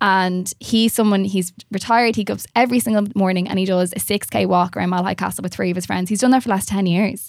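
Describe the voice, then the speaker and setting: In a very clean recording with a silent background, a woman with an Irish accent speaks very fast at medium pitch with fairly even intonation. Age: 30s. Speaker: nutritional therapist. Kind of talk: casual chat. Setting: studio.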